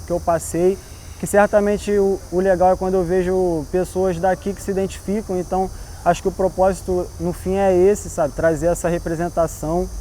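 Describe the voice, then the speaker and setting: A man talks at a moderate pace in a high pitch, with monotone, flat intonation. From Brazil, Baixada Fluminense (Nova Iguaçu, Rio de Janeiro state). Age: 20s. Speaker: visual artist. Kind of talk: interview. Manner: casual, slangy.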